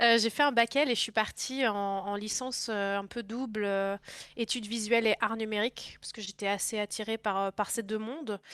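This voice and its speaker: A woman talks at a fairly high pitch and a moderate pace with fairly even intonation, in a very clean recording with a silent background and a dry, close sound with no echo. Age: 20s. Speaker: video game industry worker. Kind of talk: interview. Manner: hesitant with many fillers.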